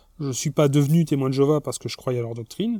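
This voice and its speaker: Recorded very cleanly with a silent background and a dry, close sound with no echo, a man of medium pitch with a dark, mellow tone speaks at a fairly quick pace. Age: 40s. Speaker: former Jehovah's Witness giving testimony. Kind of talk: personal testimony monologue. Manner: hesitant, many repetitions and fillers.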